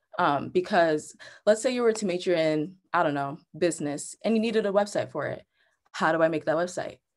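Against a quiet background, a woman talks at a fairly quick pace in an ordinary speaking voice. Her pitch is fairly low, with ordinary pitch variation. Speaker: presenter. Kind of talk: tutorial. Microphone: webcam.

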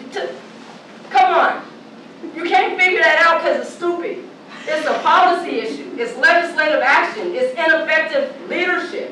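A woman speaks fairly quickly in a raised, projected, animated voice at an extremely high pitch. Audible room echo and light background noise are present. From Portland, Oregon. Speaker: activist and panelist. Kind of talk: passionate panel speech. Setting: panel discussion in front of an audience. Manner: animated, forceful. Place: hall.

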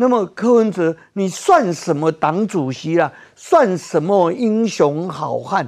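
A man talks very slowly against a quiet background. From Taiwan. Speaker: political commentator. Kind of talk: heated political debate. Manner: animated. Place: studio. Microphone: lapel.

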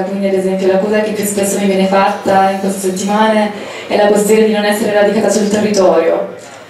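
A woman speaks with flat, monotone intonation. There is strong room echo and light background noise. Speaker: political candidate. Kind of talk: campaign speech. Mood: earnest, somewhat indignant. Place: hall.

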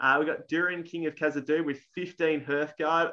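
With an Australian accent, a man speaks at a fairly high pitch in a bright, sharp tone with ordinary pitch variation. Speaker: tabletop wargaming tournament player; channel host. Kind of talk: casual chat. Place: home room. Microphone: video call.

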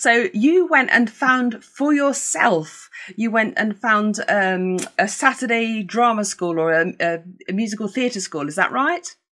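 A woman talks at a fairly slow pace with few pauses, her voice fairly high and fairly bright in tone. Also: ordinary pitch variation.

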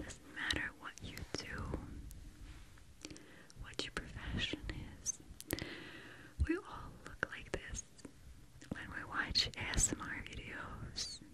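In a soft-spoken whisper, a woman talks at a very slow pace with long, frequent pauses over noticeable background noise. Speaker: ASMR creator. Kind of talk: soft whispered ASMR chat. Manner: soft close-mic whisper. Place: studio. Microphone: studio mic.

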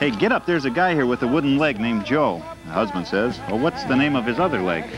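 A man talks at a very fast pace, the sound dry with no echo. Clear music plays in the background. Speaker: TV show co-host. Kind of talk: comedic joke reading. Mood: playful, laughing. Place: studio. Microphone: lapel.

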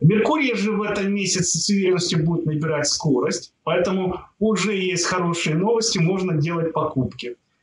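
A man with a high pitch and ordinary pitch variation speaks at a moderate pace with hardly any pauses. Light background noise and audible room echo are present. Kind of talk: monthly horoscope forecast talk. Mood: upbeat, reassuring.

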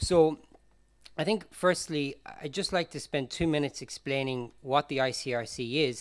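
With an Irish accent, a man talks at a fairly slow pace in a fairly high pitch, using ordinary pitch variation against a quiet background. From Ireland. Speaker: humanitarian forensic expert; conference presenter. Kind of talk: conference talk. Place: hall.

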